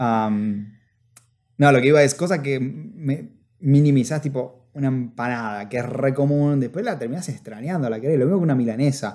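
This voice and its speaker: With a Rioplatense accent, a man at a medium pitch speaks at a moderate pace in a dark, mellow tone with ordinary pitch variation. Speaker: podcast co-host. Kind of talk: casual chat.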